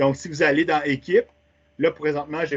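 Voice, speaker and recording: A man's fairly high voice at a fairly quick pace. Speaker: teacher trainer. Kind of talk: webinar tutorial. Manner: fast.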